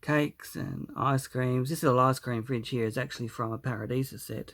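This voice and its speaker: Speaking with an Australian accent, a man uses a medium pitch and a relaxed tone. His pace is fairly slow. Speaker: hobbyist model builder. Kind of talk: casual video walkthrough. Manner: relaxed, hesitant with fillers.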